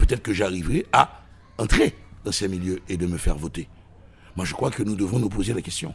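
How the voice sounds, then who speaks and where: This man has a very deep, low voice that is somewhat breathy, with ordinary pitch variation. He talks at a fairly quick pace but leaves long, frequent pauses. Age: 60s. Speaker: political commentator. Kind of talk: radio interview. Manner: animated.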